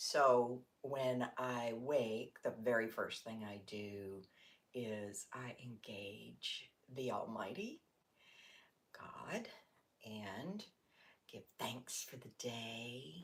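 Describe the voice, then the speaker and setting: A woman talks at a very slow pace with long, frequent pauses. Her pitch is very deep and low, and her loudness swings widely. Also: ordinary pitch variation. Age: 60s. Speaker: yoga teacher. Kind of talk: casual livestream talk to camera.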